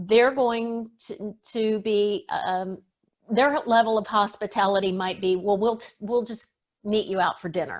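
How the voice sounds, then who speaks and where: An unremarkable speaking voice from a woman, fairly high in pitch, fairly slow, with fairly even intonation, big swings in loudness and a quiet background. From US South. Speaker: etiquette expert. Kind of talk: interview.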